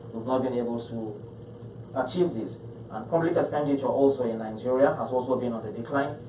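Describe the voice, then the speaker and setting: Audible room echo and light background noise accompany a man talking at a fairly quick pace. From Nigeria, Niger State. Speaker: state health commissioner. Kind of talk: panel presentation. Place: meeting room.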